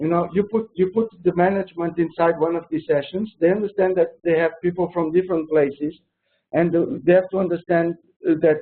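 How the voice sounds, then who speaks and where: A man with a Portuguese accent speaks at a moderate pace in a high pitch with fairly even intonation. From Portugal. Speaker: project manager. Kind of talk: webinar interview. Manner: halting, many restarts.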